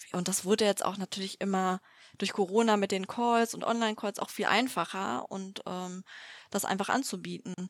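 Delivered at a moderate pace with fairly even intonation, the voice has a dry, close sound with no echo on a very clean recording with a silent background. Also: woman, medium pitch for a woman. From Düsseldorf, western Germany. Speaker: company founder. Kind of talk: interview. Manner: hesitant, many filler sounds.

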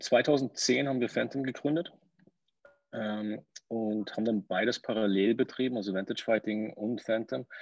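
A man with an ordinary speaking voice talks at a moderate pace and medium pitch, with ordinary pitch variation and a dry, close sound with no echo. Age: 30s. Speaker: entrepreneur. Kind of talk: interview.

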